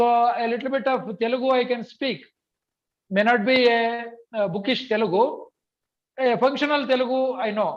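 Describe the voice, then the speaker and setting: A man speaks at an extremely high pitch with fairly even intonation. Long, frequent pauses break up his speech. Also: moderate pace. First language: Kannada. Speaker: language teacher. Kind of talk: online training session. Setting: video call.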